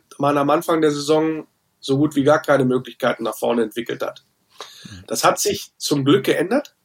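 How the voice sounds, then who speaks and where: Fairly high for a man, an ordinary speaking voice moves at a moderate pace with ordinary pitch variation. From Wolfsburg, Lower Saxony, Germany. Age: 40s. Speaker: football fan podcaster and author. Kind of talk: casual chat.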